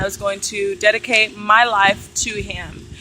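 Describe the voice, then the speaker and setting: A woman speaks over noticeable background noise. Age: 20s. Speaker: vlogger. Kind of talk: personal vlog monologue. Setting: outdoors. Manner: animated.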